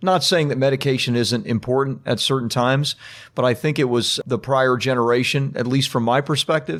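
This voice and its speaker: This man talks at a fairly quick clip in a normal speaking voice, medium in pitch with ordinary pitch variation. His loudness stays very even, and the recording is very clean with a silent background. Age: 50s. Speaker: podcast host. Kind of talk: interview.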